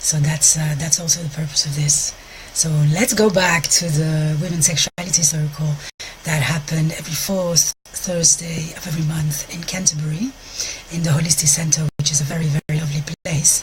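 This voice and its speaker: Speaking with a Walloon accent, a woman with a very deep, low pitch keeps her intonation fairly even over noticeable background noise. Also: moderate pace. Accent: French-speaking Belgian. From Belgium, French-speaking. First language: French. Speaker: sex therapist and intimacy coach. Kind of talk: live stream talk to viewers. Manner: halting, searching for words.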